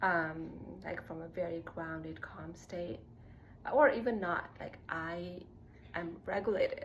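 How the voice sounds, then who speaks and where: A woman's fairly low voice with vocal fry at a fairly slow pace, with big swings in loudness and audible room echo. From Nepal. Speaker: spiritual self-growth content creator. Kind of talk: casual personal vlog monologue. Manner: casual with many fillers (like, um).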